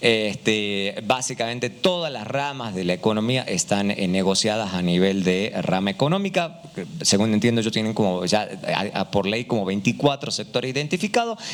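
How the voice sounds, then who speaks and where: Lively intonation and an Argentine accent come through over noticeable background noise. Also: man, fairly low pitch for a man, moderate pace. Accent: Argentine Spanish, similar to Uruguayan. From Argentina. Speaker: economist, panel speaker. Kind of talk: panel discussion. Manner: hesitant, many fillers.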